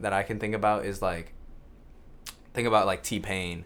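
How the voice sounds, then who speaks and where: With an American accent, the speaker's pitch moves in an ordinary way. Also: man. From grew up in Tokyo at an American school, family from the US. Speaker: music producer. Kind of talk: casual interview.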